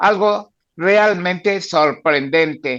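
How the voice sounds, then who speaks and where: Against a quiet background, a man speaks at a high pitch with fairly even intonation and a bright, sharp tone. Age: 90s. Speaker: comic book artist. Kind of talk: podcast interview.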